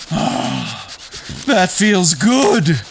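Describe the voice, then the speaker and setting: A man's high-pitched, put-on character voice amid clear background noise. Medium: read story. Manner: booming, bossy.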